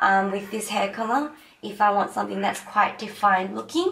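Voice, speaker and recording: Against noticeable background noise, a woman speaks at a medium pitch and a moderate pace. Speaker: beauty vlogger; teacher. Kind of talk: makeup tutorial talk to camera.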